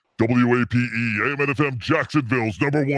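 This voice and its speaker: Putting on a character voice at medium pitch, a man talks at a very fast pace. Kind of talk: broadcast announcer delivery.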